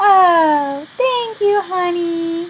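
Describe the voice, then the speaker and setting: Putting on a squeaky character voice, a woman speaks in an extremely high pitch with ordinary pitch variation. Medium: read story.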